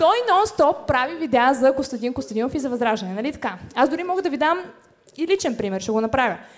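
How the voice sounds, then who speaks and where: Against noticeable background noise, a woman talks fairly quickly in a high voice with very wide pitch swings. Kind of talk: stand-up comedy roast set. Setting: stage with live audience.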